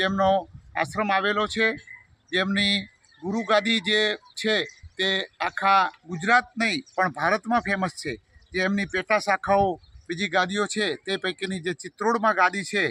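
Raising and projecting his voice, a man speaks at a high pitch with a bright, sharp tone and fairly even intonation. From North Gujarat, India. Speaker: engineer, construction committee chairman. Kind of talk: on-site interview statement. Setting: outdoors at construction site.

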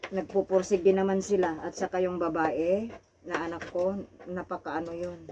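A woman speaks at a moderate pace and fairly low pitch, with noticeable background noise behind her. Her intonation is monotone and flat. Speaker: OFW domestic worker. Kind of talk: casual chat. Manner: loud.

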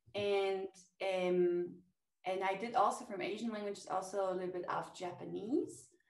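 Woman with a German accent, moderate pace, fairly even intonation, audible room echo. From Germany. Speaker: language teacher. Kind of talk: interview. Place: home room. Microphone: webcam.

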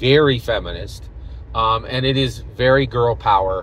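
A man's voice in a dry sound with no echo. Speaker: vlogger. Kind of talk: casual vlog commentary. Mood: opinionated, engaged. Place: car. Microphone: phone near.

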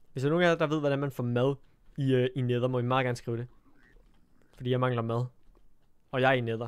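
A man talks at a very fast pace yet leaves long, frequent pauses. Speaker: gaming streamer. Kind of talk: live gameplay stream commentary. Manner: animated.

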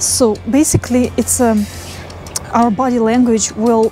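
Over faint background music, a woman talks at a fairly slow pace in a fairly high pitch, the sound dry with no echo. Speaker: brainstorming coach. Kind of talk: guided visualization. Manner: calm, gentle. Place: garden. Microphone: lapel.

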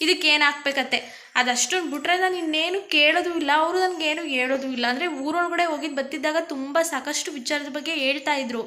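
A woman uses a raised, projected voice at a high pitch, with a bright, sharp tone and fairly even intonation. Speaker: family vlogger. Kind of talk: casual vlog chat. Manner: unscripted, improvised.

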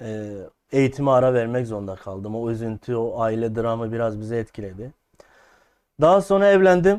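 The speech moves at a moderate pace with lively intonation over a quiet background. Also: man, medium pitch for a man. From Şanlıurfa, southeastern Turkey. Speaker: folk music singer. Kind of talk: interview. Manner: hesitant, many fillers.

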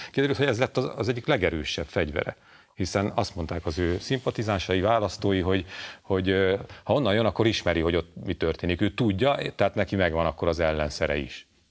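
Very fast speech from a man with a very deep, low pitch and lively intonation, over a quiet background. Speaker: journalist. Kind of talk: panel discussion. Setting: studio. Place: studio. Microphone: lapel.

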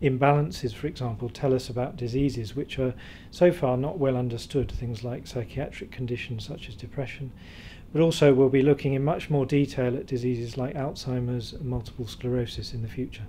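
Somewhat breathy, a man speaks at a fairly quick pace with fairly even intonation. Light background noise can be heard. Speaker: interviewee. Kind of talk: interview answer. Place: hall. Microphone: handheld.

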